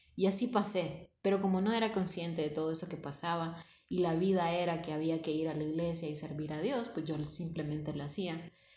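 In a Honduran accent, a woman with a fairly low pitch and ordinary pitch variation talks amid audible room echo. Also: fairly quick pace. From Honduras, Tegucigalpa. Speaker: podcast co-host. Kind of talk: casual chat.

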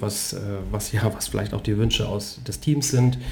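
The man's medium-pitched voice is somewhat breathy, with a dark, mellow tone. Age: 40s. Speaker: podcast host and former bank sales director. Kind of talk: casual interview conversation. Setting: living room at home.

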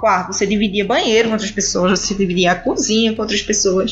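A woman with a Recife accent speaks over noticeable background noise. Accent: Recife (northeastern Brazilian). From Brazil, Recife (Pernambuco). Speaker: immigrant sharing experience. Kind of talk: casual interview chat. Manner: animated.

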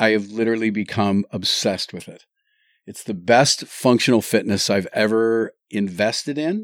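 Speaking at a moderate pace with a Canadian accent, a man with an unremarkable speaking voice shows ordinary pitch variation and big swings in loudness on a very clean recording with a silent background. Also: medium pitch for a man. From Ontario, Canada. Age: 50s. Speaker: taping educator and high school teacher. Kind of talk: casual interview chat. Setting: studio.

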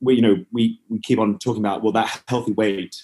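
A man talks with an Australian accent. His tone is dark and mellow. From Western Australia (Perth). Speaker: nutritionist and opera singer. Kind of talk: interview.

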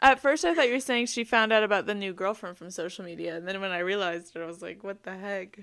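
On a very clean recording with a silent background, a woman at medium pitch speaks at a very fast pace with hardly any pauses, ordinary pitch variation and big swings in loudness. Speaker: podcast co-host. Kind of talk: casual chat. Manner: laughs often, casual.

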